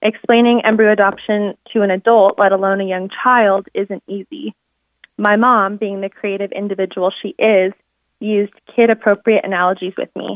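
Speaking at a moderate pace and medium pitch, a woman has an unremarkable speaking voice with fairly even intonation. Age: 20s. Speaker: embryo adoptee and co-author. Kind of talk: reading aloud. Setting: phone call.

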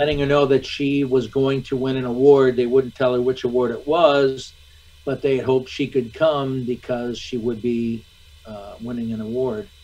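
With an American accent, a man talks at a moderate pace. His intonation is monotone and flat. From US Midwest, Michigan. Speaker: actor. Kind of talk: interview. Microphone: video call.

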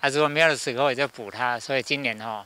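Dry with no echo, a man's bright, sharp voice sits at a medium pitch with ordinary pitch variation. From Keelung, Taiwan. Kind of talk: news interview. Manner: casual, lots of filler particles. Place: farm. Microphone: handheld.

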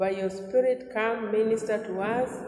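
With audible room echo and light background noise, a woman speaks at a moderate pace in a monotone, flat intonation. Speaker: Sunday school teacher. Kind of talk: prayer. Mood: earnest, fervent. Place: home room. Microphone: lapel.

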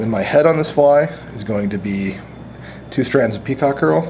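Faint background noise sits behind a man speaking at a moderate pace and medium pitch. His tone is slightly mellow and his intonation lively.

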